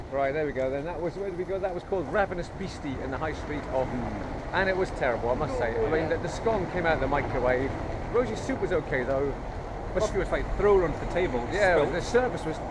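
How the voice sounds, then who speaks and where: The speech runs at a very fast pace. Loud noise fills the background. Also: man. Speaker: vlogger. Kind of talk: casual vlog chat. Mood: wry, joking review. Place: street. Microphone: phone near.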